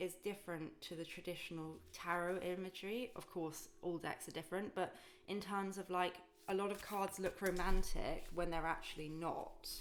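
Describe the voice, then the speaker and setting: A woman talks at a moderate pace with medium pitch and ordinary pitch variation. She has an ordinary speaking voice. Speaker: tarot reader. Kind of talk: tarot reading to camera. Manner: calm.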